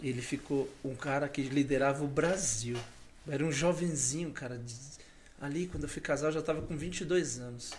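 At a moderate pace, a man speaks in a somewhat breathy voice of fairly high pitch. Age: 40s. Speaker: elder and international trade professional. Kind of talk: casual chat. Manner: hesitant, repeating words.

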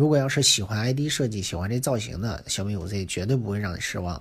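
Lively intonation marks this man's somewhat breathy voice. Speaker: tech reviewer. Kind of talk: casual monologue. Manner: halting, many fillers.

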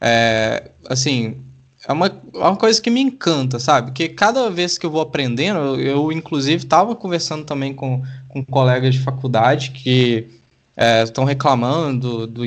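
Against a quiet background, a man speaks at medium pitch and a moderate pace with ordinary pitch variation. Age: 20s. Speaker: law student. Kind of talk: casual interview chat. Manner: halting, many fillers and repetitions.

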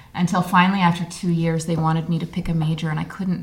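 A woman talks at a fairly low pitch. Her intonation stays fairly even, with noticeable noise in the background. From Australia. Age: 40s. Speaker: mother. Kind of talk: casual interview. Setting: garden shed at a party.

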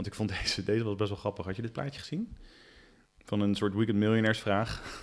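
Very fast in pace, a man talks with fairly even intonation. His pitch is fairly low. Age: 40s. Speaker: podcast co-host. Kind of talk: casual chat.

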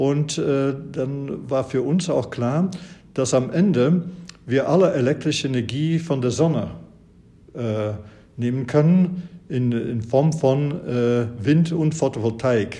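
Very slow and broken by long, frequent pauses, a man's fairly high, somewhat breathy voice carries a dark, mellow tone and ordinary pitch variation. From Flanders, Belgium. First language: Dutch (Flemish) (speaking German). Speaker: professor. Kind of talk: interview. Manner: hesitant with many fillers.

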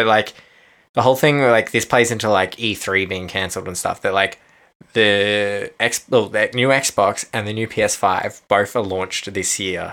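The speaker has an Australian accent and a bright, sharp tone. The pace is moderate. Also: man, fairly low pitch for a man, fairly even intonation, very clean recording, silent background. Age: 20s. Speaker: podcast co-host. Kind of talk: casual chat.

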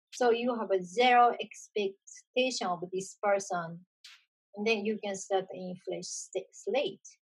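With a Japanese accent, a woman speaks somewhat breathily at a fairly slow pace, in a medium pitch with fairly even intonation. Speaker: video podcast host. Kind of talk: casual conversation.

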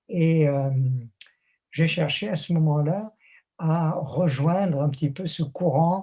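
Very slowly and with long, frequent pauses, a man speaks with a dark, mellow tone, a fairly high pitch and fairly even intonation. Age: 80s+. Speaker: theologian and author. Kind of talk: interview.

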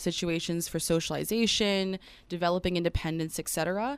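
A woman's fairly low voice at a very fast pace. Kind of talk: relaxed radio guest chat in a live interview. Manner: bubbly, warm, quick to laugh.

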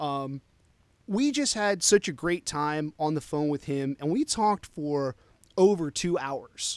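Pitched fairly high, a man with an unremarkable speaking voice talks with normal pitch movement. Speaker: podcast co-host. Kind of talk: casual chat.

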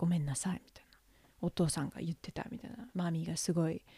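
A woman talks at a fairly quick pace with a fairly low pitch, ordinary pitch variation and a dark, mellow tone. Her voice is somewhat breathy, and the sound is dry and close with no echo. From United States. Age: 30s. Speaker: podcast host. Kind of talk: casual chat. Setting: home recording studio. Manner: animated.

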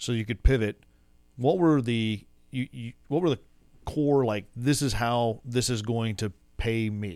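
In a Texan accent, a man with a medium-pitched voice speaks at a fairly slow pace with ordinary pitch variation. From West Texas. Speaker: podcast host. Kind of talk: casual interview. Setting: studio.

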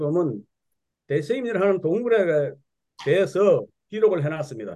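A man speaks very slowly at a high pitch, with lively intonation. His tone is dark and mellow. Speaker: church speaker. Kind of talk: church meeting talk.

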